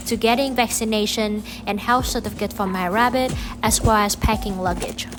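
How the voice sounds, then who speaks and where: Music plays in the background as a woman speaks with a Vietnamese accent. Her pitch is fairly high, her intonation fairly even and her pace moderate. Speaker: pet vlogger. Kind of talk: vlog narration.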